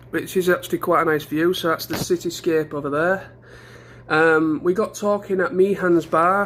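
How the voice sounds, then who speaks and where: Speaking at a moderate pace, a man with a high voice keeps his intonation fairly even. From England. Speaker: travel vlogger. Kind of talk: casual vlog. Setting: hotel room. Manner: hesitant, many fillers.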